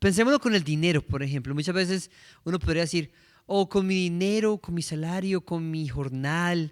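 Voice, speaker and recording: Heard in a very clean recording with a silent background, the speaker talks at a moderate pace in a Colombian accent with ordinary pitch variation. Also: man, high pitch for a man. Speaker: preacher. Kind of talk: sermon.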